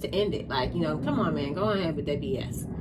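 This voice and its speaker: Noticeable background noise and audible room echo surround a woman talking very fast in an American accent. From New York. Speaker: tarot reader. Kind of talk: tarot reading. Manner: animated.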